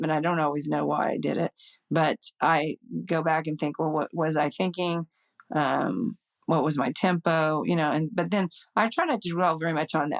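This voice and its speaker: This woman has a very deep, low pitch with vocal fry and keeps a moderate pace. The sound is dry and close, with no echo. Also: ordinary pitch variation. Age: 60s. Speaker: amateur golf champion. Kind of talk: interview conversation. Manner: animated.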